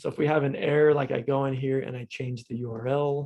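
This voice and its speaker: Ordinary pitch variation marks a normal speaking voice that keeps a fairly quick pace. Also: man. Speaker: coding instructor. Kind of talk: lecture. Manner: casual, filler-heavy.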